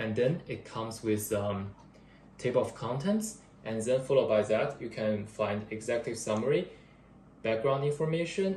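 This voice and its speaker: At medium pitch with ordinary pitch variation, a man talks in a somewhat breathy voice. He has a non-native accent and keeps a moderate pace. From another country. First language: not English. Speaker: part-time engineering student. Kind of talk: class presentation. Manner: halting, with fillers and restarts.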